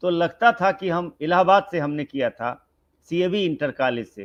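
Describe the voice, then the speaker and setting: A man with a Bihari accent and a fairly high pitch. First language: Bhojpuri (speaking Hindi). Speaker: senior writer and professor. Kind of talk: interview conversation.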